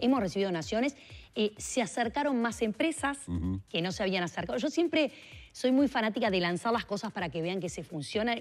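A woman with a Uruguayan accent talks at a fairly quick pace and a fairly high pitch, with very wide pitch swings. Her voice has vocal fry. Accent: Rioplatense Spanish (Uruguay). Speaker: politician, mayoral candidate; politician, candidate. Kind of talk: radio interview. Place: studio. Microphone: lapel.

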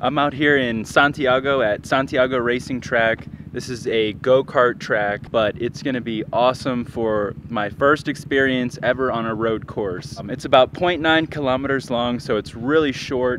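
A man is speaking. The sound is dry with no echo, and there's noticeable background noise. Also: fairly even intonation, moderate pace. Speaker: motorcycle vlogger. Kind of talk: casual vlog chat. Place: stadium. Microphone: phone near.

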